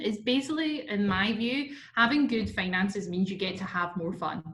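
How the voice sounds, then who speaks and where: Amid audible room echo, a woman with a Scottish accent speaks at a medium pitch with lively intonation. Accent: Scottish, sometimes heard as Irish. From Scotland. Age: 20s. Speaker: marketing manager, workshop presenter. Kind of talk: webinar presentation. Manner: casual, many fillers.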